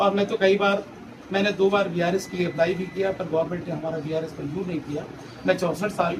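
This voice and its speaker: Against noticeable background noise, a man with a high pitch speaks at a moderate pace with fairly even intonation. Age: 60s. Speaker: doctor, civil surgeon. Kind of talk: interview. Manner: halting.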